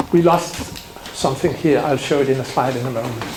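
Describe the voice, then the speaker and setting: A man's voice comes with audible room echo. Noticeable background noise is present. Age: 60s. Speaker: symposium speaker on general practice. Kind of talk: conference talk. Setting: symposium with audience.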